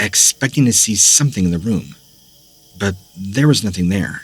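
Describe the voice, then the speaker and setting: A man with a fairly low pitch and lively intonation, music playing in the background. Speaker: horror story narrator / voice-over artist. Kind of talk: scary story narration, first-person storytelling.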